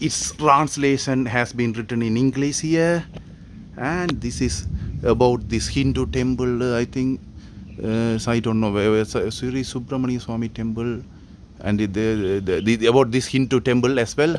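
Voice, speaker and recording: Noticeable background noise runs under a man's medium-pitched voice. He speaks at a moderate pace with ordinary pitch variation. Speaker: travel vlogger. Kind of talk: walking travel vlog narration. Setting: outdoors at hillside temple. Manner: halting, many fillers and restarts.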